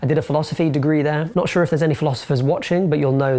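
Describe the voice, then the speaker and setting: A man speaks with a London accent. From London, England. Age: 20s. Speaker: film reviewer and video essayist. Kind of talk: casual to-camera Q&A monologue.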